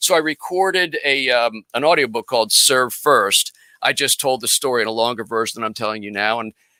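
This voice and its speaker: A man speaks at a fairly quick pace and medium pitch, with ordinary pitch variation and a bright, sharp tone. The recording is very clean with a silent background, and the sound is dry and close with no echo. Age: 60s. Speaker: business coach and guest. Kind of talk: casual interview chat.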